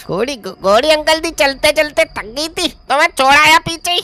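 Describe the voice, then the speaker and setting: A woman speaks in a cartoonish character voice, high-pitched and at a moderate pace. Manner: evasive, answers vaguely.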